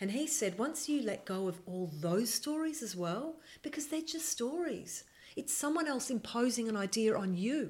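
Speaking at a moderate pace, a woman uses a high pitch with very wide pitch swings. Her accent is Australian. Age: 50s. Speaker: filmmaker. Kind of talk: casual chat.

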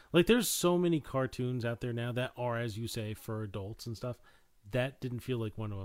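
A plain, everyday voice in a very clean recording with a silent background. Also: man. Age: 30s. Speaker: film podcast host. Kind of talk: casual chat.

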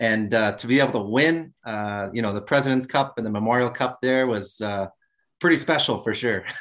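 Against a quiet background, a man talks at a fairly quick pace in a plain, everyday voice of medium pitch. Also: ordinary pitch variation. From New Brunswick, Canada. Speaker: guest, teacher and former hockey player. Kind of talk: interview.

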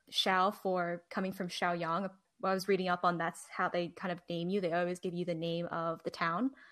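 A woman with an American accent and a fairly low pitch talks at a moderate pace in a monotone, flat intonation, on a very clean recording with a silent background. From New Jersey. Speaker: podcast co-host and Chinese adoptee. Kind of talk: casual interview chat.

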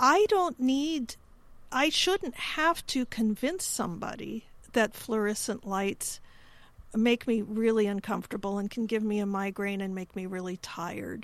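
Recorded very cleanly against a silent background, a woman with an American accent and a plain, everyday voice talks at a fairly slow pace, her pitch fairly high and her intonation lively. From US Midwest, Chicago. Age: 50s. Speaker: podcast host. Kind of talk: interview.

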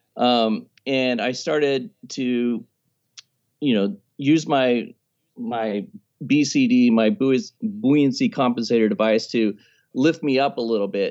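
Against a quiet background, a man with a normal speaking voice talks at a fairly slow pace. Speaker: travel videographer and scuba diver. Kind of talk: casual interview chat.

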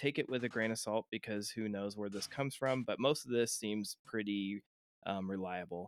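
A normal speaking voice at a moderate pace with fairly even intonation comes through a very clean recording with a silent background and a dry, close sound free of echo. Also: man. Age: 30s. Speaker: podcast host. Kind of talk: reading aloud; casual chat.

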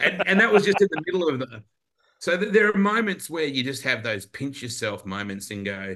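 Bright and sharp in tone, a man with an Australian accent speaks with very wide pitch swings. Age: 50s. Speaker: motorsport commentator. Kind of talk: casual chat.

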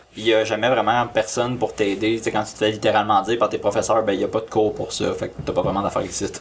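Over noticeable background noise, the speech comes at a very fast pace with hardly any pauses. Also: man. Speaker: amateur filmmaker. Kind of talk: casual chat.

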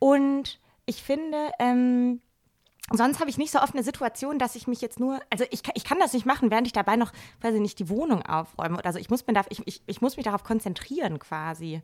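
Recorded very cleanly against a silent background, a woman speaks fairly quickly in a high pitch, her tone energetic and her intonation lively. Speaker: physician and journalist. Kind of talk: casual chat. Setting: home living room.

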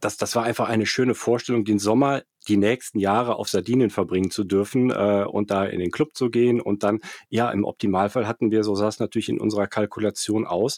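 Dry and close with no echo on a very clean recording with a silent background, a man talks at a fairly quick pace, fairly low in pitch with fairly even intonation. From Germany, Cologne (Rhineland). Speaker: finance entrepreneur, startup managing director. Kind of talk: interview. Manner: halting, many fillers and repetitions.

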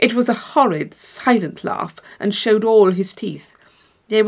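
Just a natural reading voice

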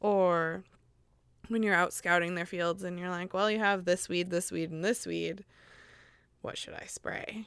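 The speaker has an American accent and monotone, flat intonation with long, frequent pauses. The recording is very clean, with a silent background. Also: woman, fairly low pitch for a woman. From Missouri, US. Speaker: childcare provider. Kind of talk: casual interview chat.

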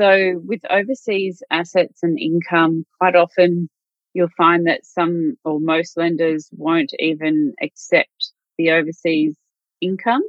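A woman with an Australian accent, fairly low in pitch, with ordinary pitch variation and a very slow pace. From country Victoria, Australia (Wodonga). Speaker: mortgage broker. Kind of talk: interview.

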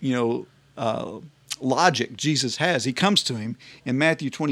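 Text is read aloud plainly, the pitch rising and falling in an ordinary way.

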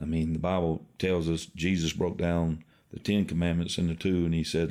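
Over a silent background on a very clean recording, a man speaks with a very deep, low pitch, a dark, mellow tone and monotone, flat intonation. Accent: South Carolina. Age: 50s. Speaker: pastor. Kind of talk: interview.

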